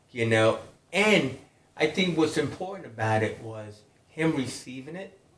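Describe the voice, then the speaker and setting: Lively intonation and big swings in loudness mark this fairly slow speech in an American accent. Audible room echo surrounds it. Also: man, fairly high pitch for a man. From US Northeast, New York. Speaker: podcast host. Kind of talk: casual chat.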